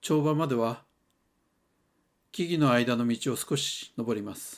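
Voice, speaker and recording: Heard in a very clean recording with a silent background, a man speaks with lively intonation. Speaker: hot spring travel reviewer. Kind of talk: travel vlog narration.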